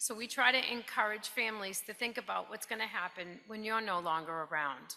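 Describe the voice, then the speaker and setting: Her New Jersey accent comes with a bright, sharp tone at a fairly high pitch. The woman keeps a moderate pace. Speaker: financial planning specialist. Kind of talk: presentation. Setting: stage with audience.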